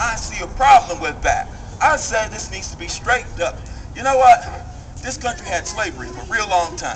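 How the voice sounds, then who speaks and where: An American accent marks this man's extremely high voice, which moves in very wide pitch swings. He speaks at a fairly quick pace against noticeable background noise. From US. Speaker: rally speaker. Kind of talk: impassioned protest-rally speech, rhetorical call-and-response. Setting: outdoor rally with crowd. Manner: fiery, escalating rhetorical repetition; folksy, conversational, with humorous jabs. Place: street.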